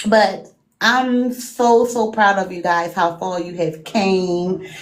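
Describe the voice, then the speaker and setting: With a Baltimore accent and medium pitch, a woman talks at a very slow pace with ordinary pitch variation and long, frequent pauses, with audible room echo. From Baltimore, Maryland. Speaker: live stream guest, fellow streamer. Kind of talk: casual chat.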